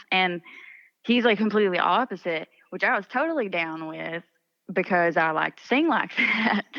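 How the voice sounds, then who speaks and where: In an Appalachian accent, a woman talks at a moderate pace and medium pitch, her intonation lively and her loudness swinging widely, in a dry, close sound with no echo. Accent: Appalachian Southern US. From eastern Kentucky. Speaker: country singer-songwriter. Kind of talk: interview. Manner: casual, animated.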